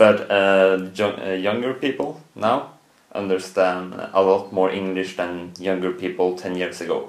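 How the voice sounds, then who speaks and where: A man with a Norwegian accent talks at a fairly slow pace in a very deep, low voice. Audible room echo surrounds his speech. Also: fairly even intonation. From Norway. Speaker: student. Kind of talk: interview. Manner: halting.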